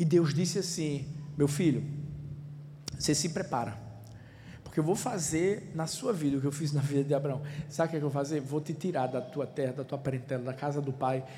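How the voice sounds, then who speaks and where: A man's fairly high, somewhat breathy voice with a dark, mellow tone, fairly quick yet broken by long, frequent pauses, plus audible room echo. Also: ordinary pitch variation. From Recife, Pernambuco, Brazil. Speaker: pastor. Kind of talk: sermon. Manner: animated.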